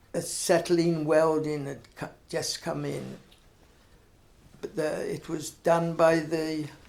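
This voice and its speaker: In a Herefordshire accent, a man speaks at a very slow pace with a fairly high pitch, monotone, flat intonation, and long, frequent pauses. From Herefordshire, England. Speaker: retired blacksmith. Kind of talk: oral history interview answer.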